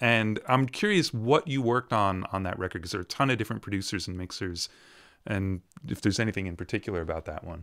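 A man speaks very fast at a fairly low pitch. The background is quiet. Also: ordinary pitch variation. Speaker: interviewer. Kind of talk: casual interview. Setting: video call. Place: studio.

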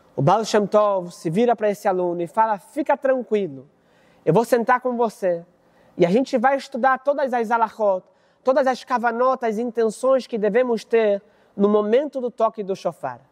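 A high-pitched man with a Brazilian accent, a warm, animated tone and a moderate pace, over a quiet background. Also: ordinary pitch variation. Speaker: rabbi. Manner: narrative, warm and animated, acting out the dialogue of master and student. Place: studio.

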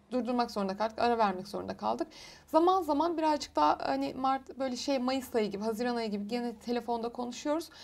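A high-pitched woman at a fairly quick pace. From Turkey, Muğla; Turkey. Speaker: clinical psychologist; guest. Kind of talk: interview on TV. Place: studio. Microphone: lapel.

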